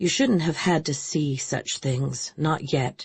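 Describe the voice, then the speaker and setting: At a fairly slow pace, a put-on character voice growls at a middle pitch. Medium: read story. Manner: weary, hushed.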